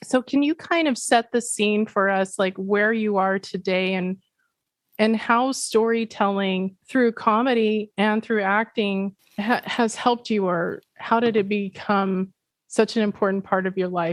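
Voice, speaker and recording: A woman talks in a normal speaking voice, fairly high-pitched, at a fairly slow pace. Her intonation stays fairly even, and the sound is dry and close with no echo. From Pacific Northwest United States. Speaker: podcast host. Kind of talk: podcast interview.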